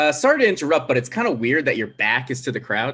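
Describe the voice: In a put-on character voice, a man speaks fast at medium pitch, his tone bright and sharp with a slightly husky edge and big pitch swings.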